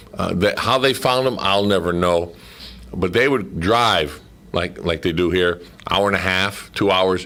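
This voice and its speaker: Very even loudness at a fairly slow pace, with ordinary pitch variation and noticeable background noise. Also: man, very deep, low pitch for a man. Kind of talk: casual radio interview, recounting memories of a radio drama series.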